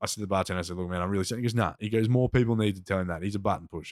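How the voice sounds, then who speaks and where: Over a silent background in a very clean recording, a man with an Australian accent talks at a very fast pace, his fairly low pitch showing ordinary variation. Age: 30s. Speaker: plumber and rapper, former political candidate. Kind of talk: casual chat. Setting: studio.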